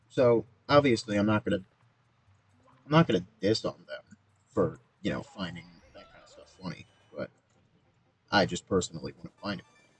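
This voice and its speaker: Dry and close with no echo, a man's voice moves at a fairly quick pace with vocal fry, long, frequent pauses and big swings in loudness. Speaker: gaming streamer. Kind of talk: casual gameplay livestream commentary. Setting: livestream. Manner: monotone.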